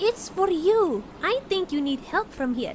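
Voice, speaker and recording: A female-sounding, put-on character voice at an extremely high pitch, with very wide pitch swings, a fairly slow pace, and clear background noise. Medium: machinima.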